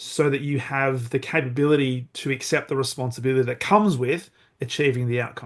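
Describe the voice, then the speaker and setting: In a normal speaking voice, a man talks at a moderate pace and medium pitch with fairly even intonation against a quiet background. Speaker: podcast host. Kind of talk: podcast interview questions.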